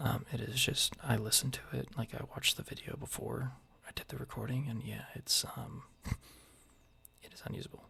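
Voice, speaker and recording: Someone is whispering at a moderate pace. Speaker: military service member. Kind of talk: ASMR soft-spoken vlog narration. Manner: soft-spoken.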